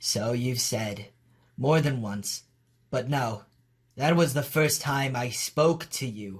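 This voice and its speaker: Using a put-on character voice at a medium pitch, a man speaks at a fairly slow pace with long, frequent pauses. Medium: dub.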